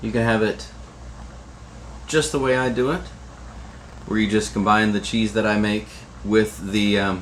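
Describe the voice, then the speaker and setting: With noticeable background noise, a man speaks at a moderate pace in a fairly low pitch with ordinary variation, an upbeat tone, and long, frequent pauses. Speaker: cooking show host. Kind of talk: cooking tutorial. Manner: casual, upbeat.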